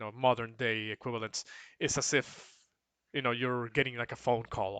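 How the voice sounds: A natural reading voice, quiet background.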